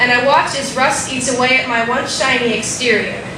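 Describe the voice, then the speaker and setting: Over noticeable background noise, a woman's voice comes through raised and projected. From Albuquerque. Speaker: slam poet. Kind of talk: slam poetry performance.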